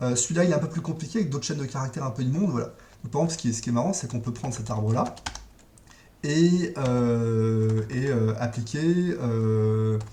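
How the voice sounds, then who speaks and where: The pace is fairly quick. There is noticeable background noise. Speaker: programming tutorial presenter. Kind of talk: tutorial. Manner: fast; hesitant, many fillers.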